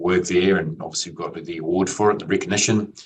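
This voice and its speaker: A man with a New Zealand accent talks at a very fast pace. His intonation stays fairly even. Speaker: IT executive. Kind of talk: interview.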